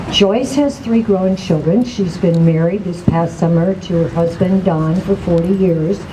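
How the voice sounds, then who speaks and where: With audible room echo and noticeable background noise, a woman speaks at a moderate pace in a fairly low voice with fairly even intonation. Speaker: organization president. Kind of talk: speaker introduction. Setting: podium at rally.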